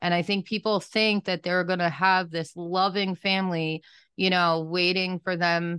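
A woman speaks at a medium pitch with fairly even intonation in a plain, everyday voice. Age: 30s. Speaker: podcast host and trafficking survivor. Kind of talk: interview testimony.

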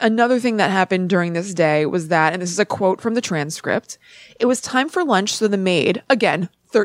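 Someone reads aloud in a natural voice.

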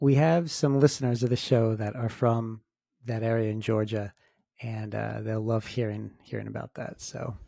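A man speaks in a plain, everyday voice at medium pitch and moderate pace. His intonation stays fairly even on a very clean recording with a silent background. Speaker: paranormal podcast host and author. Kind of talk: interview with scripted intro. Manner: formal, measured.

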